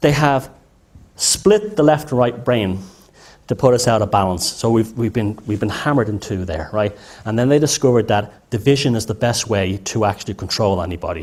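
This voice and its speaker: With an Irish accent, a man talks at a fairly quick pace, his medium pitch showing ordinary pitch variation. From Ireland. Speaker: lecturer. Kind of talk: lecture. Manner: halting, many false starts.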